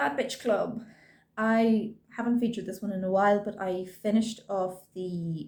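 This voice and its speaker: Here a woman talks with an Irish accent. Her pitch sits in the medium range. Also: fairly even intonation, moderate pace. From Ireland. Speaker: cross-stitch vlogger. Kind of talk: casual show-and-tell vlog. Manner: chatty, with frequent ums.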